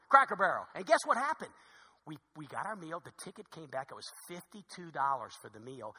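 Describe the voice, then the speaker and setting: A man's high voice with very wide pitch swings and big swings in loudness, a fairly quick pace, and long, frequent pauses. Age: 50s. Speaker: pastor. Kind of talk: sermon. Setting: church. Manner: fast.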